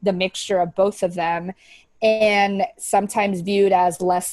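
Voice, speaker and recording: A woman speaks with a Spanish accent. Her intonation is flat and monotone. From US, partly raised in Paraguay. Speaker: video podcast co-host. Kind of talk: casual chat.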